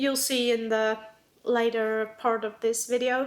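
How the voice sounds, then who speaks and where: In a non-native accent, a woman speaks at a fairly slow pace with a fairly high pitch and monotone, flat intonation. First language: not English. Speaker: planner YouTuber. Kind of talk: casual vlog talk. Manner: hesitant, filler-heavy.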